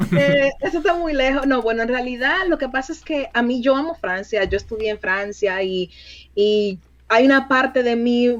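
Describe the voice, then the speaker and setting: Speech at a moderate pace with a lively intonation. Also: woman, high pitch for a woman. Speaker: recruiter. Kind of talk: interview.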